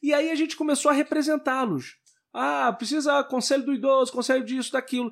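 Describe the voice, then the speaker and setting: This man's pitch is extremely high, and he speaks at a fairly quick pace with fairly even intonation. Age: 30s. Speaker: local politician. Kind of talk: interview.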